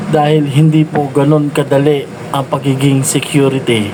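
A man's fairly slow speech bounces with audible room echo while noticeable background noise goes on. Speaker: security guard vlogger. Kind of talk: vlog narration.

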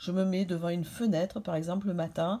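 Somewhat breathy and dark, mellow in tone, a woman speaks at a fairly quick pace. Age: 50s. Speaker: beauty and fashion YouTuber; beauty vlogger. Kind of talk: beauty tutorial vlog. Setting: hotel room. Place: home room. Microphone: phone near.

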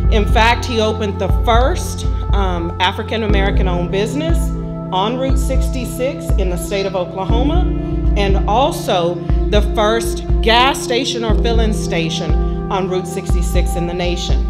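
Loud music plays in the background. Over it, a woman speaks at a fairly slow pace. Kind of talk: event speech. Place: hall. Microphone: handheld.

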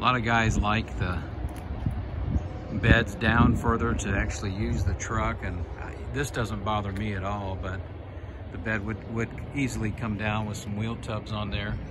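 Loud background noise sits behind this recording. A man speaks at a fairly slow pace with ordinary pitch variation. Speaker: private seller showing his truck. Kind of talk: casual sales walkaround commentary. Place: street. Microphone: phone near.

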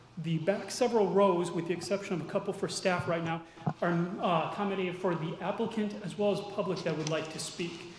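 Over light background noise with audible room echo, a high-pitched man talks at a very fast pace. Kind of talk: procedural briefing at a public meeting. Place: hall. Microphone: podium.

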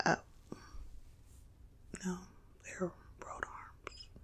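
A woman speaks soft-spoken and somewhat breathy. Her tone is calm. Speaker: ASMR content creator. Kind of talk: casual talk to camera, informational ASMR video. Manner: soft-spoken, calm. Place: home room.

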